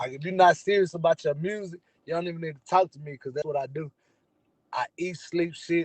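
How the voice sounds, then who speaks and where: Speaking fairly quickly with an American accent, a man's high pitch and fairly even intonation come with big swings in loudness, in a dry, close sound with no echo. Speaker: rapper. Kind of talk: casual interview. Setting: in a car. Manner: laid back.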